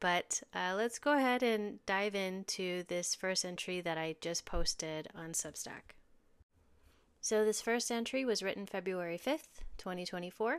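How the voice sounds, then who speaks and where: Speaking at a fairly slow pace, a woman has a plain, everyday voice of medium pitch with ordinary pitch variation, on a very clean recording with a silent background. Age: 40s. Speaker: intuitive medium and podcast host. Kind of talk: reading aloud personal journal entries; casual podcast intro.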